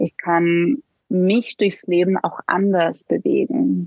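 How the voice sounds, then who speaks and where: Very slowly and at a very even loudness, a woman speaks with a Slovenian accent. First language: Slovenian (speaking German). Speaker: somatic coach for women. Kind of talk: interview.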